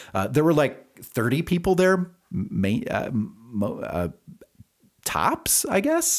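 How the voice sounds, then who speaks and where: The man's voice carries vocal fry and swings very widely in pitch. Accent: American. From US Midwest, central Wisconsin. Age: 40s. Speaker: podcast host and singer-songwriter. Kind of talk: casual solo monologue. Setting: home studio. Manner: hesitant, many fillers.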